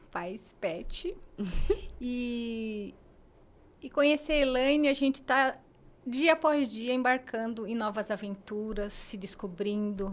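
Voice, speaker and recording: A woman talks very slowly in a very clean recording where the background is silent. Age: 40s. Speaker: mentor, podcast guest. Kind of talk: casual interview chat.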